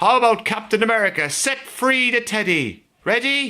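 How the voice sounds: His pitch is extremely high for a man, and his intonation is lively. The man's tone is bright and sharp. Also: moderate pace.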